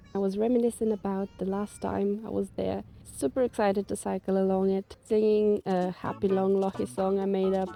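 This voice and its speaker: Over music in the background, a woman at a medium pitch speaks at a fairly quick pace with fairly even intonation. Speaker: van life vlogger. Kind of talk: travel vlog narration.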